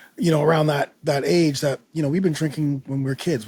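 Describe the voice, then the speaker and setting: A somewhat breathy man speaks at a very fast pace. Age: 50s. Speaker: fitness coach and podcast host. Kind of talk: podcast interview.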